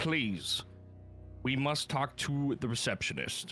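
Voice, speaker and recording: A loud, booming put-on character voice moves at a fairly slow pace with faint music in the background. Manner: booming, loud.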